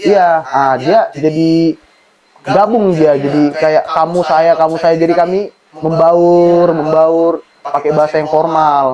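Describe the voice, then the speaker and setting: Intonation here is fairly even. The delivery is very slow. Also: man, fairly high pitch for a man. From North Sumatra, Batak/Medan. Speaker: university student. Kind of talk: podcast interview.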